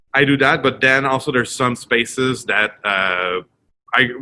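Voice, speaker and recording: A man talks in a Quebec accent. His pitch variation is ordinary. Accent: French Canadian accent in English. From Quebec, Montreal. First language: French. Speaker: retail director. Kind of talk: interview. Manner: halting, many fillers.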